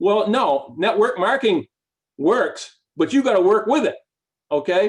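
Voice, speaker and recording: A man's high voice at a fairly slow pace, with very wide pitch swings. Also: very even loudness. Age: 60s. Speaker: network marketing team leader. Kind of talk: motivational talk. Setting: team meeting. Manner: halting.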